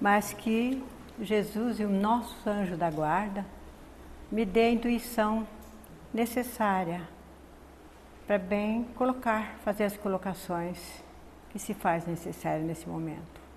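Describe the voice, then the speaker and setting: A soft-spoken woman talks at a very slow pace, leaving long, frequent pauses, her voice somewhat breathy at medium pitch with ordinary pitch variation. There is audible room echo. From Northeast Brazil. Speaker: spiritist lecturer. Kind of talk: spiritist lecture.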